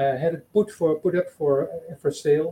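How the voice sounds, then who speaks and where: A man's dark, mellow voice with a Dutch accent. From Netherlands. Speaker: supporter. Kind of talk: testimony. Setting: video call.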